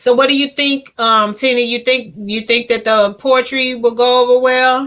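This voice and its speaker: This woman has an American accent and a high pitch, with a bright, sharp tone. Her intonation is monotone and flat, and her pace is moderate. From Houston, Texas. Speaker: YouTuber and self-published poet. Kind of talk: live stream chat with viewers. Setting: live stream on laptop. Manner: gets loud when viewers arrive; halting, many fillers.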